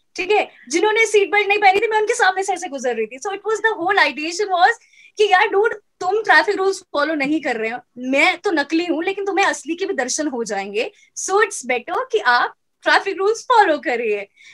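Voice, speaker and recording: A woman talks at a moderate pace with lively intonation. Her pitch is extremely high. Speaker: radio jockey. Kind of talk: interview answer. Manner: fluent, lively.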